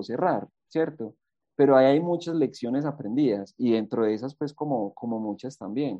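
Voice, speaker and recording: This man has a fairly high pitch, moderate pace, ordinary pitch variation and an unremarkable speaking voice. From Colombia, eastern Antioquia (Rionegro). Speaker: university alumnus, business manager. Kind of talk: interview, sharing career lessons.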